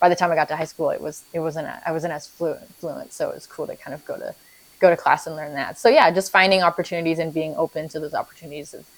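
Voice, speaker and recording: Speaking with a Vietnamese accent, a woman goes at a very fast pace. Her pitch is fairly low and her intonation fairly even. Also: big swings in loudness. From Vietnam, moved to US at seven. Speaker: parent. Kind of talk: documentary interview. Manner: halting, many restarts.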